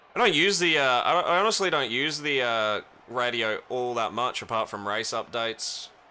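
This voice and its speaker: Bright and sharp in tone, a man of medium pitch speaks with an Australian accent. His pace is moderate and his intonation lively. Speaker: gaming streamer. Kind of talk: live gameplay stream chat. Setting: home stream room. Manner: casual, conversational.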